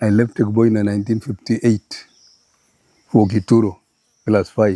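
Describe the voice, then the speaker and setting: A man's medium-pitched voice at a moderate pace, dark and mellow in tone, with a dry, close sound and no echo. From Kenya, Baringo. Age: 80s+. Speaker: retired chief and former teacher. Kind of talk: life story interview. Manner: halting, with repetitions.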